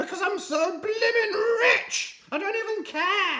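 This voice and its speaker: A put-on character voice at an extremely high pitch moves at a fairly slow pace with audible echo. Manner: haughty, exclaiming.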